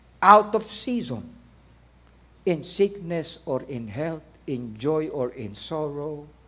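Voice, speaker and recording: Room echo is audible as a man with a fairly high pitch talks at a very slow pace, his pitch swinging very widely. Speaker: pastor. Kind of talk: sermon. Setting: church.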